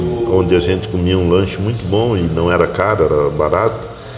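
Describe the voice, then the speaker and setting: Noticeable background noise and audible room echo surround a man speaking at a moderate pace with ordinary pitch variation. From southern Brazil. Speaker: doctor. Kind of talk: casual interview. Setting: café.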